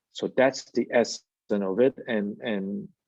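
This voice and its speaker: With a non-native accent, a man talks in a fairly low, dark, mellow voice with fairly even intonation and a dry, close sound with no echo. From Malaysia. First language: not English. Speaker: plastic surgeon. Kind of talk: interview.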